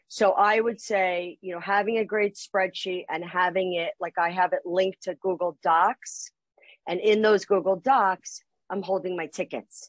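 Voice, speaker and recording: Against a quiet background, a woman talks at a moderate pace. Her pitch variation is ordinary, and the sound is dry with no echo. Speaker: guest. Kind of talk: interview answer. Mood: warm, friendly. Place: office. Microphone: video call.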